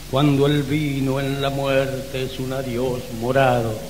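A man at a very slow pace over noticeable background noise. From Salta, Argentina. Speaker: poet. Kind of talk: poetry reading.

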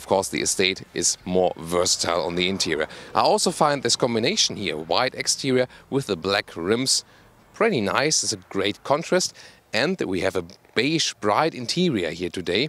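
This man's pitch is fairly low, yet it swings very widely as he goes. He keeps a moderate pace, and the sound is dry with no echo. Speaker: car reviewer. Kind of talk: review presentation. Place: open country. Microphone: handheld.

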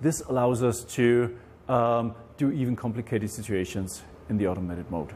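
Light background noise runs under the recording. A man speaks at a moderate pace in a dark, mellow tone. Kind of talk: interview answer. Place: garage. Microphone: lapel.

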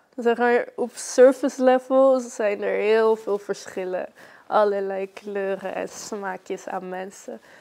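A woman speaks at a very slow pace in a dark, mellow tone. Her loudness swings widely, with ordinary pitch variation. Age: young. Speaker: spoken word poet. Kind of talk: interview answer. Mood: calm, reflective, warm. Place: home room.

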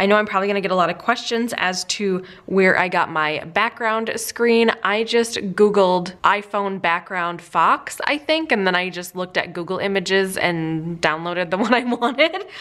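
A woman speaks at a moderate pace with hardly any pauses and ordinary pitch variation. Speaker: lifestyle vlogger. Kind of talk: casual tutorial chat.

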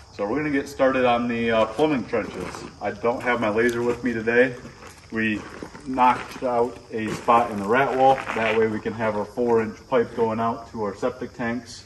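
A man talks in a monotone, flat delivery over noticeable background noise. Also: moderate pace. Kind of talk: tutorial. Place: open country. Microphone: camera far.

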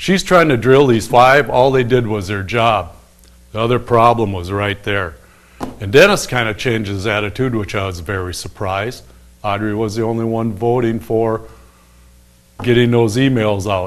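A man's voice at medium pitch with ordinary pitch variation. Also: moderate pace. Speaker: town crier, local commentator on city council matters. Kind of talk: casual opinionated rant to camera about local politics. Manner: frustrated, complaining. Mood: exasperated, complaining. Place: studio.

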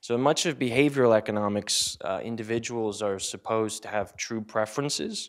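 At a moderate pace, a man talks with ordinary pitch variation over a quiet background. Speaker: conference presenter. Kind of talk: academic talk. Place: classroom. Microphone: handheld.

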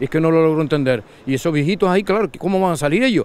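At a very fast pace, a man talks in a dry sound with no echo. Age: old. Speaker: local resident. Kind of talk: street interview. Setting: outdoors. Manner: agitated, halting. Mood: indignant, complaining. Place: beach. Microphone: handheld.

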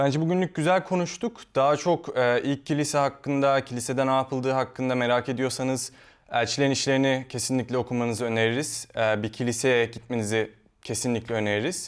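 A man with an ordinary speaking voice talks at a fairly quick pace, his medium pitch showing ordinary variation and his loudness very even. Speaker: show host. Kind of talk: panel discussion.

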